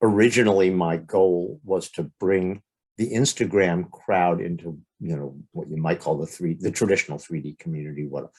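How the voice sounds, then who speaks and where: In a very clean recording with a silent background, a man with a very deep, low pitch talks at a moderate pace. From Los Angeles, US West Coast. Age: 60s. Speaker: stereoscopic photographer. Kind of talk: podcast interview.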